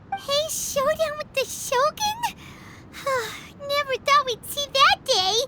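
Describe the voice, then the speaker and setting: In a put-on character voice, a female-sounding speaker uses an extremely high pitch at a fairly slow pace with long, frequent pauses. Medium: fan dub. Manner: chatty, hesitant, refers to self in third person.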